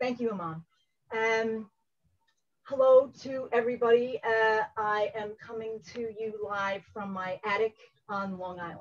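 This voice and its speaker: A woman with a strong New York accent, fairly high pitch, fairly slow pace, fairly even intonation, big swings in loudness, and long, frequent pauses. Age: 60s. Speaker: engineering educator. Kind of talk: conference workshop talk. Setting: video call from home.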